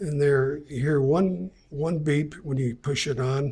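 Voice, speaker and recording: A man speaks at a very slow pace with a fairly high pitch. His voice is somewhat breathy. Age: 70s. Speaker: product reviewer. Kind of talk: product review tutorial. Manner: casual, hesitant with fillers.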